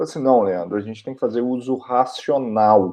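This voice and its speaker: A man with a Minas Gerais accent, at a moderate pace, against a quiet background. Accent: mineiro. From Minas Gerais, Brazil. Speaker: occupational hygienist and online instructor. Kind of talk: educational video talk. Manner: casual, conversational.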